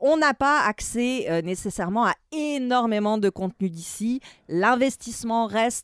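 An ordinary speaking voice comes through with a dry, close sound with no echo in a very clean recording with a silent background. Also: woman, fairly high pitch for a woman. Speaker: film and TV critic. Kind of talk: opinion discussion.

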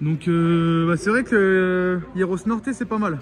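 A man speaking high in pitch, with light background noise. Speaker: travel vlogger. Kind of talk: casual vlog chat. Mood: cheerful, joking. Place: workshop. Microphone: phone near.

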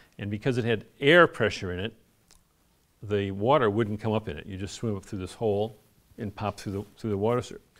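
With a normal speaking voice, a man at fairly low pitch talks at a fairly quick pace, using ordinary pitch variation and big swings in loudness. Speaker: lecturer and sailor. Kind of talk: lecture with audience Q&A. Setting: live talk with microphone. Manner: casual, conversational.

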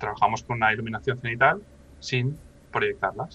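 The man's tone is bright and sharp, with ordinary pitch variation. He keeps a moderate pace. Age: 30s. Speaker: professional miniature painter; interview guest. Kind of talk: casual interview chat. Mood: calm, explanatory. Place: home room. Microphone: video call.

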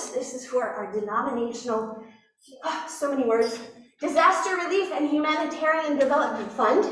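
Lively in intonation and high in pitch, a woman speaks at a moderate pace amid audible room echo. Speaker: pastor. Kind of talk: church announcements. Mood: warm, lightly joking. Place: church.

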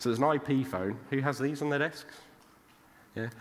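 A man is talking. His pace is very fast. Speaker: conference speaker. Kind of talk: lecture. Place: stage.

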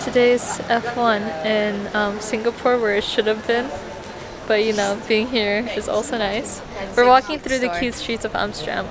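A woman at a fairly slow pace with fairly even intonation, dry sound with no echo and noticeable background noise. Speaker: vlogger. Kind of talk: casual vlog chat. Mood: cheerful, laughing. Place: street. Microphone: phone near.

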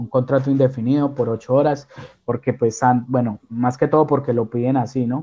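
The background is quiet as a man speaks at a moderate pace. His intonation is monotone and flat. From Colombia, Armenia; Colombia. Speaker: caregiver, immigrant; interview guest. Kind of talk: interview. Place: home room. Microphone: video call.

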